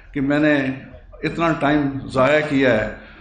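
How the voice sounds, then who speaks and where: A man speaks at a fairly high pitch. Audible room echo and noticeable background noise surround the voice. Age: 60s. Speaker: local party politician and businessman. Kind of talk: press conference statement. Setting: press conference. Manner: halting, some stammering.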